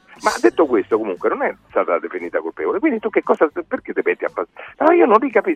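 Very fast delivery with hardly any pauses. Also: man. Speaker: science communicator, geologist professor. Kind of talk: radio debate with callers. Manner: argumentative.

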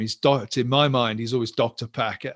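A man with an English accent speaks at a medium pitch with fairly even intonation. The recording is very clean, with a silent background and a dry, close sound without echo. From England. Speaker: professor and minister. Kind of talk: interview.

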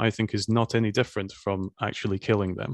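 Speaking at a very fast pace with a Scottish accent, a man comes through in a dry, close sound with no echo and a quiet background. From Scotland. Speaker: podcast host. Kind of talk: interview.

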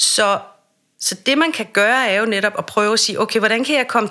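A woman speaks in a bright, sharp tone. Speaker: voice and speech coach. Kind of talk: interview.

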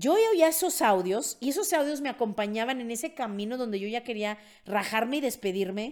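Lively and animated, a woman speaks at a fairly quick pace in a high voice. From Mexico. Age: 50s. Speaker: podcast host, network marketing mentor. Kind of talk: casual monologue, personal story.

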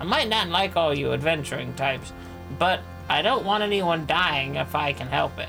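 Over loud music in the background, a put-on character voice at a low-to-middle pitch moves at a moderate pace. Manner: dry, blunt.

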